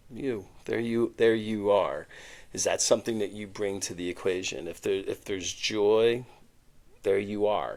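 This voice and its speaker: A man talks at a fairly slow pace on a very clean recording, the background silent. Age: 60s. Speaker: podcast co-host. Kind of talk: casual chat. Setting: studio couch. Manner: halting.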